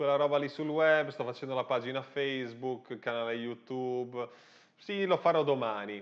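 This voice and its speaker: A man with a fairly high pitch at a moderate pace against a quiet background. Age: 30s. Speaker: online business coach. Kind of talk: livestream monologue. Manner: animated. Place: studio.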